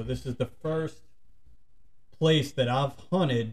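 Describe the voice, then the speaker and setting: A man with a south Louisiana accent, at a fairly slow pace with fairly even intonation. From St. Bernard Parish, Louisiana. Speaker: outdoor YouTuber. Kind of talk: casual chat.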